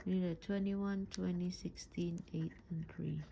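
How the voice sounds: At a fairly slow pace, a woman speaks with a fairly low pitch, a dark, mellow tone, vocal fry, and little pitch movement.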